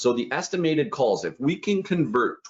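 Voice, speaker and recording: There is vocal fry in this man's fairly high voice. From Canada. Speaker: online business coach. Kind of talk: live webinar tutorial. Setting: livestream. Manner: fast; animated.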